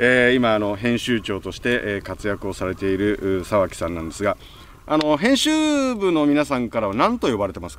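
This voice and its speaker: A man with an unremarkable speaking voice talks at a medium pitch and moderate pace. His intonation is lively, and his loudness swings widely. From Japan, Gunma (Kusatsu). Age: 50s. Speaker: radio podcast host. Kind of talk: interview.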